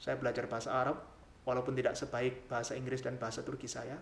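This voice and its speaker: A man talking at a very fast pace. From Java, Indonesia (village). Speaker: doctoral student and channel creator. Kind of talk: channel introduction monologue. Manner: formal.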